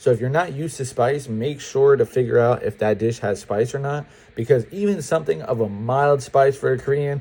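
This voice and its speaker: Speaking at a fairly quick pace, a man with an American accent has a medium pitch. His tone is dark and mellow, and somewhat breathy. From upstate New York. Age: 20s. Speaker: student vlogger. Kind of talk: casual advice vlog. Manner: casual, conversational.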